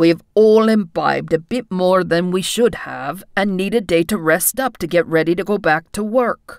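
A woman speaks at a medium pitch in a put-on character voice. The recording is very clean, with a silent background. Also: moderate pace. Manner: irritable, sarcastic.

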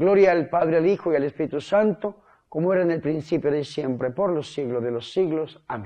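A man talks at a middling pace, pitch varying in an ordinary way, with the surroundings quiet. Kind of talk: sermon. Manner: earnest, fervent preaching; direct, exhortative address. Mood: devout, fervent.

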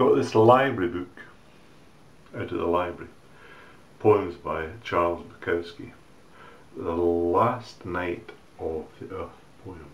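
A man with a very deep, low voice speaks very slowly, with long, frequent pauses, ordinary pitch variation and big swings in loudness. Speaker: poetry reader. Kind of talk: poetry reading. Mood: wry, relaxed, theatrical. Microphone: webcam.

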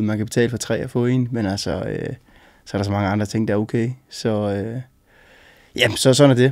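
A man's medium-pitched voice in a flat monotone against a quiet background. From northern Jutland, Denmark (Aalborg); northern Jutland, Denmark. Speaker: interviewee. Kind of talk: interview. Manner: hesitant, many fillers. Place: studio.

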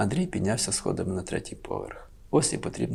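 The reading voice sounds unforced.

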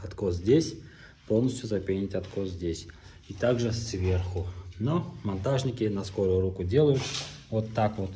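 A somewhat breathy man with a fairly low pitch and a dark, mellow tone, at a fairly slow pace with long, frequent pauses, ordinary pitch variation and light background noise. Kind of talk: tutorial. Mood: ironic, critical. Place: home room. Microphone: phone near.

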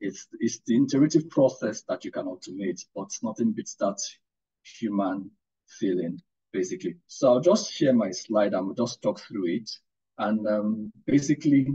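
Over a quiet background, a somewhat breathy voice with a dark, mellow tone moves at a moderate pace through very wide pitch swings. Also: man. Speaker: guest. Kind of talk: webinar lecture. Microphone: video call.

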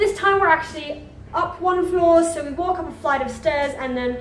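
There is audible room echo and light background noise. A woman speaks at a moderate pace. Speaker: travel vlogger. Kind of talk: casual vlog chat. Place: home room. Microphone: phone near.

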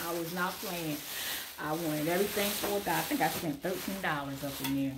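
A woman speaks at a fairly quick pace with a fairly low pitch and ordinary pitch variation. Noticeable background noise runs behind her. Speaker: thrift haul vlogger. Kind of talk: casual vlog chat. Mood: cheerful, pleased. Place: home room. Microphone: phone near.

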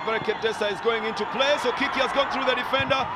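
A man's voice carries ordinary pitch variation while noticeable background noise runs underneath. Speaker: football commentator. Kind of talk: live football commentary. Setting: stadium match broadcast. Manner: animated; fast-paced.

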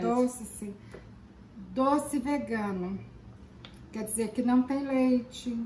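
A woman's high voice at a very slow pace, with fairly even intonation, long, frequent pauses, audible room echo, and light background noise. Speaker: grandmother co-host. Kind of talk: casual talk to camera, food tasting. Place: kitchen. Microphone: camera far.

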